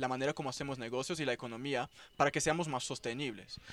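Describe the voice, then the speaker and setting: A man speaks with a Portuguese accent in a very clean recording with a silent background. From Brazil, São Paulo. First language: Portuguese (speaking Spanish). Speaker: cannabis economy researcher. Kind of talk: casual chat. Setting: at a festival event.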